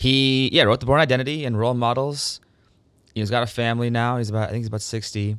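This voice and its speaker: The speaker talks at a very fast pace with an American accent and fairly even intonation. The recording is very clean, with a silent background. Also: man, medium pitch for a man. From Minnesota, US Midwest. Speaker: writer and actor. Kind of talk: casual chat.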